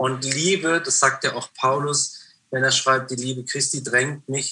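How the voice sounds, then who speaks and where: A man's plain, everyday voice with fairly even intonation. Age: 50s. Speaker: prayer house founder and author. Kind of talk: interview conversation. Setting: remote call.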